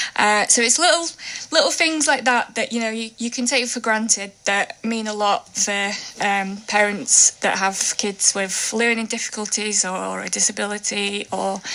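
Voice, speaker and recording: A woman speaks at a moderate pace with a fairly high pitch and ordinary pitch variation. Noticeable background noise runs behind her. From Russia. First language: Russian. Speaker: children's book author. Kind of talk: radio interview. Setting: radio studio.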